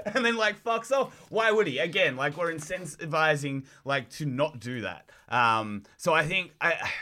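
In an Australian accent, a man speaks at a moderate pace with a bright, sharp tone and very wide pitch swings. The recording is very clean, with a silent background. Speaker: professional wrestler. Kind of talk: casual chat.

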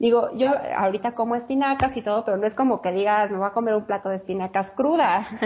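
At a fairly quick pace, this somewhat breathy voice speaks in a Mexico City accent with ordinary pitch variation. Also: woman. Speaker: chef and health coach. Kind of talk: interview, personal testimony.

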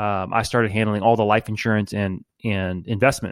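A man with a New Orleans accent, fairly low in pitch, at a fairly quick pace with fairly even intonation, in a dry, close sound with no echo. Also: very clean recording, silent background. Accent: New Orleans (Louisiana) English. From New Orleans, US South. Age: 40s. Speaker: insurance agent and investment advisor. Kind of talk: casual interview chat. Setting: call.

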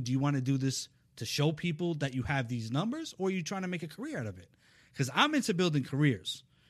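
A man with a fairly high, somewhat breathy voice speaks very fast with lively intonation. The background is quiet. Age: 40s. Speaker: talent manager. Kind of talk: casual interview chat. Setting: studio.

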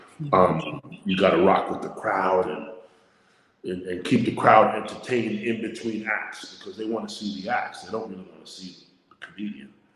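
At a moderate pace, a man with a fairly low voice speaks in fairly even intonation. His loudness swings widely, and room echo is audible. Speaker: stand-up comedian. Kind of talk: casual chat.

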